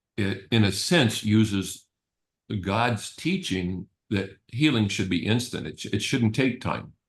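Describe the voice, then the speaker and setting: The speaker talks at a fairly slow pace, with ordinary pitch variation. The voice is somewhat breathy. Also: man, fairly low pitch for a man. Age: 70s. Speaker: energy healing practitioner and teacher. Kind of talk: webinar presentation. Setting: video call.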